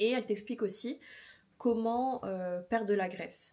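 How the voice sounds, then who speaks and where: A woman with a dark, mellow tone talks at a moderate pace. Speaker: fitness vlogger. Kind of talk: casual vlog talk. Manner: hesitant with many fillers.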